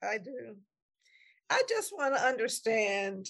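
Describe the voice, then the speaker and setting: Against a quiet background, a woman speaks in a normal speaking voice. Her pitch is fairly high and her pace fairly slow. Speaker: podcast co-host. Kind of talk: casual chat. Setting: video call.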